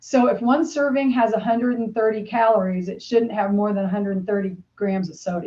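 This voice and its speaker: In an American accent, a woman with a fairly high pitch and a dark, mellow, somewhat breathy tone speaks at a fairly quick pace with ordinary pitch variation. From Bradford, Pennsylvania. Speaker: health coach and personal trainer. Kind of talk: podcast interview answer. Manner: casual, conversational.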